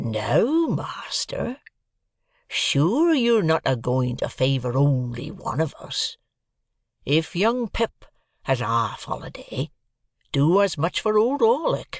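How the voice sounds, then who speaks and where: A man puts on a gruff, growling character voice, high in pitch with very wide pitch swings, at a fairly slow pace with long, frequent pauses. The sound is dry and close with no echo, over a quiet background. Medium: read story. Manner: growling, gruff, resentful.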